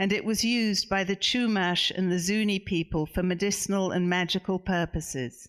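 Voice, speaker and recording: On a very clean recording with a silent background, the words unfold at a moderate speed. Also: woman. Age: 60s. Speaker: author. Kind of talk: reading aloud; book talk. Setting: bookstore event with audience.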